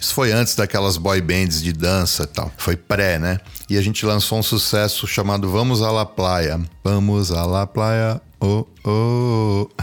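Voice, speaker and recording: A man speaks fairly slowly in an unremarkable speaking voice, fairly low in pitch with ordinary pitch variation and very even loudness. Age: 50s. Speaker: multi-instrumentalist and music producer. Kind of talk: casual chat.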